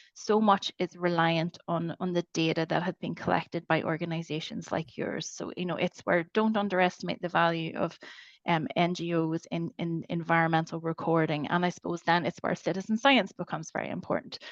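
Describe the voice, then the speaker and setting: A woman with a Northern Irish accent, fairly low in pitch, fairly quick with hardly any pauses and fairly even intonation, in a dry, close sound with no echo against a quiet background. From Northern Ireland. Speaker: webinar moderator. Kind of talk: webinar Q&A. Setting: online webinar. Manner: hesitant, many fillers.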